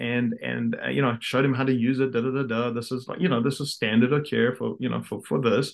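A man in a South African accent, speaking with hardly any pauses. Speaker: orthodontist and practice owner. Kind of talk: casual interview chat. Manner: halting, many fillers.

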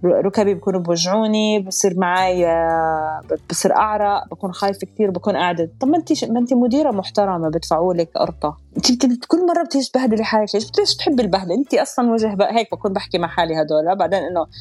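A woman with a Jordanian accent, medium pitch, lively intonation, a fairly quick pace and very even loudness. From Jordan, Amman. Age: 40s. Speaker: stand-up comedian. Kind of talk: interview storytelling.

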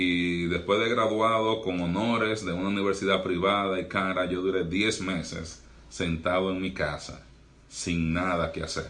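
A man with a very deep, low pitch talks at a fairly slow pace with fairly even intonation, and room echo is audible. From Dominican Republic. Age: young. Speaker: doctor and pastor. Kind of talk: podcast interview.

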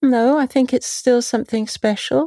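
A woman's voice with a dark, mellow tone and ordinary pitch variation, recorded very cleanly with a silent background and a dry, close sound that has no echo. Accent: London. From London, England. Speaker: potter and craft market founder. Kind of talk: interview.

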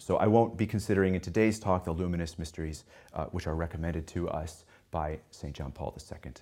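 A man with a very deep, low voice and a dark, mellow tone talks at a very fast pace with ordinary pitch variation, vocal fry, and big swings in loudness, all on a very clean recording with a silent background. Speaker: English professor. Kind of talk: lecture. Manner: formal.

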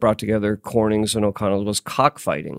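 Recorded with a dry, close sound and no echo, a man with an American accent talks at a very fast pace. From US Pacific Northwest (Tacoma, Seattle). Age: 60s. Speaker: author and writers institute director. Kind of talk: interview.

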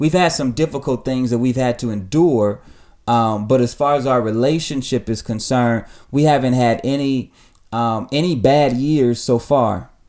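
In a very clean recording with a silent background, a man with a plain, everyday voice speaks at a moderate pace with ordinary pitch variation. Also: medium pitch for a man. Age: 30s. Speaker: pastor and podcast host. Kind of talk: casual chat; sermon.

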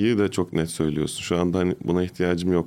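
A dark, mellow tone at a fairly quick pace over a quiet background. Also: man. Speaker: comedian and podcast host. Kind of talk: casual chat. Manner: animated.

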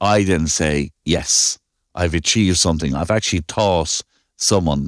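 In a very clean recording with a silent background, a man with an Irish Midlands accent speaks fairly slowly at a very deep, low pitch, his loudness very even and the sound dry and close with no echo. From Ireland. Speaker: civil engineer, firm owner. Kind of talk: interview.

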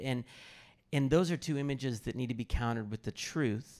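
On a very clean recording with a silent background, a man with an American accent uses a plain, everyday voice at medium pitch with ordinary pitch variation. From US Midwest, Kansas City area. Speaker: pastor and biblical counselor. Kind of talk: personal testimony and teaching on stage.

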